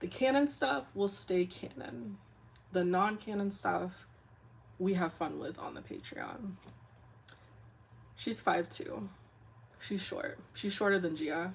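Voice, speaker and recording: A woman's very slow delivery with vocal fry, very wide pitch swings and long, frequent pauses. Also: medium pitch for a woman. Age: 30s. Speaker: webcomic artist and streamer. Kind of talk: casual livestream chat. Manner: animated.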